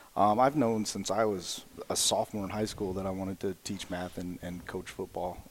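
In a plain, everyday voice with an American accent, the speaker keeps a moderate pace and fairly even intonation. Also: man, fairly low pitch for a man. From southwestern Indiana, near Evansville. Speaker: high school football coach and math teacher. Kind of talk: casual interview.

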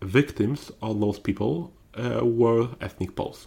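Very slowly, a man speaks at a medium pitch with ordinary pitch variation, on a very clean recording with a silent background. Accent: Polish. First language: Polish. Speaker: historian. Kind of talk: interview. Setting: in-person studio. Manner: halting.

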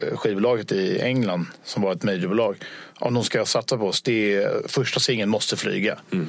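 This is a man with a normal speaking voice. He talks at a moderate pace and a medium pitch. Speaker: touring band musician. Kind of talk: casual interview.

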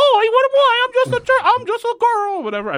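This put-on character voice sits at an extremely high pitch. The pace is moderate.

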